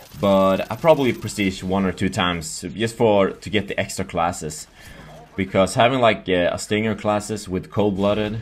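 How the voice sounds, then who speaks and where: A man with a Swedish accent speaks at a fairly low pitch. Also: ordinary pitch variation, moderate pace. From Sweden. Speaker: gaming youtuber. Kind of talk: gameplay commentary. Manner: halting.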